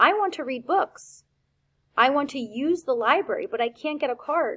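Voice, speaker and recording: Using a put-on character voice, a woman speaks at a moderate pace in a high pitch with very wide pitch swings. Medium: read story. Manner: polite, deferential.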